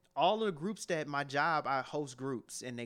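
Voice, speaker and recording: In a very clean recording with a silent background, a man with a plain, everyday voice and an American accent talks at a moderate pace with lively intonation. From Cleveland, Ohio, US. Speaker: rapper and author. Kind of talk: interview.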